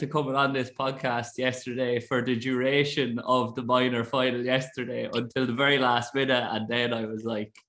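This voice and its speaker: A man speaks with an Irish Midlands accent at a medium pitch. His tone is bright and sharp, and his pace is moderate. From Ireland, Roscrea, County Tipperary. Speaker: podcast host. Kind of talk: casual chat.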